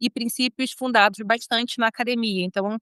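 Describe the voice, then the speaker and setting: A woman with a Rio de Janeiro accent and a bright, sharp tone is heard in a dry, close sound with no echo. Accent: carioca. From Brazil, Rio de Janeiro. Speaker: lawyer and law professor. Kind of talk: interview. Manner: informal, many filler hesitations.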